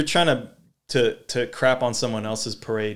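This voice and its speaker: The recording is very clean, with a silent background. A man with an American accent speaks at a very slow pace, with ordinary pitch variation. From Sacramento, California, US. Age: 30s. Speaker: podcast host, breakdancer. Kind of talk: casual interview chat.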